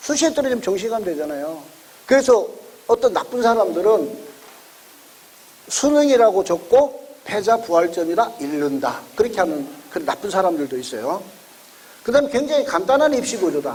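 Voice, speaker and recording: A loud man talks at a fairly quick pace in an extremely high pitch, with very wide pitch swings, long and frequent pauses, and noticeable noise behind him. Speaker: education consultant lecturer. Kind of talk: lecture.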